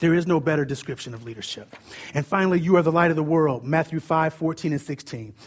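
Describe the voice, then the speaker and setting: Loud and at a very fast pace, a man speaks with fairly high pitch and ordinary pitch variation. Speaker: preacher. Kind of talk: sermon. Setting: stage with audience. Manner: fast talker, loud.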